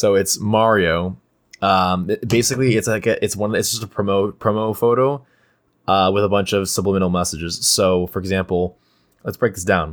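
A man speaks at a moderate pace in a playful tone. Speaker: podcast co-host. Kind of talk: casual chat. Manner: playful, joking.

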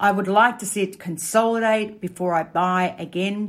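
Here is a woman talking. She speaks with an Australian accent. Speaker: market commentator. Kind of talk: casual market commentary. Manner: casual, conversational.

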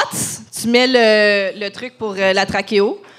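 A woman's very slow speech carries over noticeable background noise. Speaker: podcast host. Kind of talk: casual chat. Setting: stage with audience.

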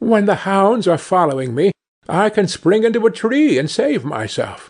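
A man with a calm tone and a high pitch, very wide pitch swings, against a quiet background. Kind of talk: fairy-tale narration. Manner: calm, storyteller pacing with character voices.

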